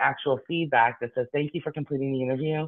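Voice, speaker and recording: Here a man with an American accent talks at a medium pitch. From Boston, US. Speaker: tech company executive. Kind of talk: business presentation Q&A. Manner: fast.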